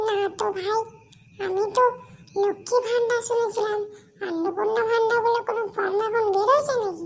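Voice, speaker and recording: In a cartoonish character voice, the speaker talks at a moderate pace with an extremely high pitch. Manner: gullible, excitable.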